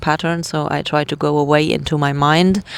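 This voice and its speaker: A woman's very deep, low voice, fairly slow and flat, monotone in intonation. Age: 30s. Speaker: vlogger sharing personal story. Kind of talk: personal vlog testimony. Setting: inside a tent. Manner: halting, many fillers.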